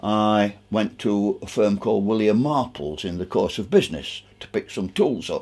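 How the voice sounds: At a moderate pace, a man talks with a fairly low pitch, a slightly mellow tone and ordinary pitch variation.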